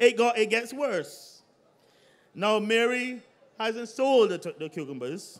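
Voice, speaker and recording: A man's high voice at a very slow pace, with long, frequent pauses and ordinary pitch variation. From Barbados. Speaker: politician. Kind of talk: political rally speech. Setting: outdoor public meeting on playing field. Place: stage. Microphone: podium.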